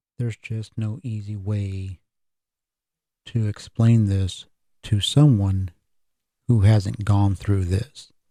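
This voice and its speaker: A man speaks very slowly at a fairly low pitch, leaving long, frequent pauses. His tone is dark, mellow and somewhat breathy, with fairly even intonation. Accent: American. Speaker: podcast host. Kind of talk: solo podcast monologue.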